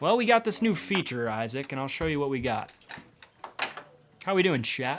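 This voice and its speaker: With an American accent, a man speaks at a fairly high pitch. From Massachusetts, New England. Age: 20s. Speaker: poker commentator. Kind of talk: live commentary. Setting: commentary booth.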